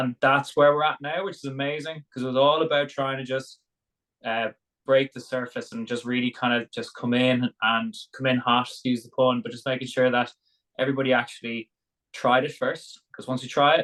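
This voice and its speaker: A man with an Irish accent talks at a fairly quick pace and medium pitch, his tone bright and sharp with fairly even intonation. The sound is dry and close with no echo, against a quiet background. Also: big swings in loudness. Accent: Irish brogue. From Ireland, Dublin. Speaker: sauna business founder, former rugby player. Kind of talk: interview conversation.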